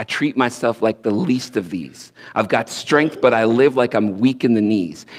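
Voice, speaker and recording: Against a quiet background, a man speaks at a medium pitch and moderate pace with lively intonation. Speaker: spoken word poet. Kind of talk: spoken word poetry sermon, inspirational. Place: stage. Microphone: headset.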